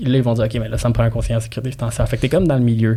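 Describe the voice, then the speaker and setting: A very fast, somewhat breathy delivery in a dark, mellow tone. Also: man. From immigrant to Quebec. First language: not French (speaking French). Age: 30s. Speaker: real estate broker and marketing coach. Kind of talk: casual podcast interview. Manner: animated, colloquial.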